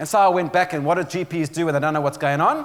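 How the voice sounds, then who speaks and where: A man speaks with a South African accent in a high voice. His tone is animated. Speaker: motivational speaker and author. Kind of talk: keynote speech.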